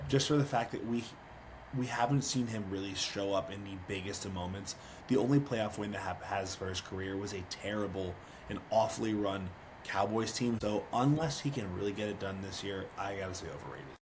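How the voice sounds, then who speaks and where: A man's fairly low voice at a fairly quick pace, with ordinary pitch variation and audible room echo. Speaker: podcast co-host. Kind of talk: casual chat.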